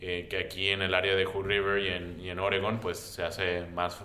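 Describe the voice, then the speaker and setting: A man's very deep, low voice at a moderate pace. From Brownsville, Texas (US-Mexico border). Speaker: immigration lawyer. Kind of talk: radio roundtable discussion. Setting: radio studio.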